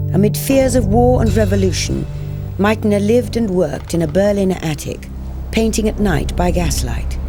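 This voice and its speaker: A woman talks at a moderate pace. Behind her, music plays. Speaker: actress. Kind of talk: documentary narration.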